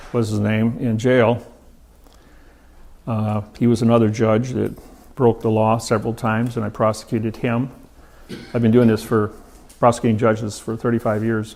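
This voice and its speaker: Speaking at a medium pitch and a moderate pace, a man keeps a monotone, flat intonation broken by long, frequent pauses. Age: 60s. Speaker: seminar speaker on law. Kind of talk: seminar talk. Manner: halting, many fillers.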